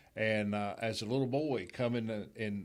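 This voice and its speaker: A man with a North Carolina accent speaks at a fairly low pitch in a very clean recording with a silent background. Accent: Southern US (North Carolina). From western North Carolina, Hickory area. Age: 60s. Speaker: gym owner and speedway official. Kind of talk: casual interview. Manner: halting, repeats words.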